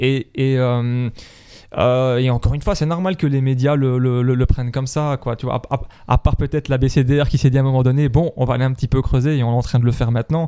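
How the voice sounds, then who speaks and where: Fairly even intonation marks a man's dark, mellow tone. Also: medium pitch for a man, fairly quick pace. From Belgium, La Louvière. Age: 30s. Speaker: hip-hop archivist. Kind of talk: casual interview. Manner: halting.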